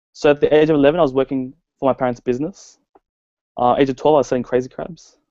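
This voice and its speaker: A man with an Australian accent speaks very fast at a medium pitch, with fairly even intonation and a dark, mellow tone. The sound is dry and close with no echo, over a quiet background. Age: young. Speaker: network marketer. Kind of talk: personal story presentation.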